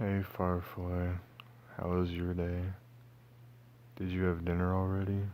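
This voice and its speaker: Soft-spoken and very deep and low, a man talks at a fairly slow pace in a monotone, flat manner with long, frequent pauses. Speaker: audio roleplay performer. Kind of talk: audio roleplay. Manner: soft, affectionate.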